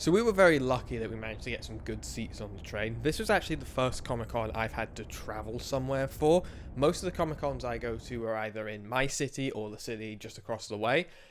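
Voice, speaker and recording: With a British accent, a man at medium pitch talks at a very fast pace in an energetic tone, hardly pausing, with ordinary pitch variation and big swings in loudness. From UK. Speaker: cosplay vlogger. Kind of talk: casual vlog narration. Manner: fast, energetic.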